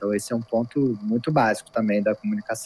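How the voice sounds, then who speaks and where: A man talks at a fairly quick pace. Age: 30s. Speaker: marketing executive. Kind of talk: interview. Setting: remote call. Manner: fast.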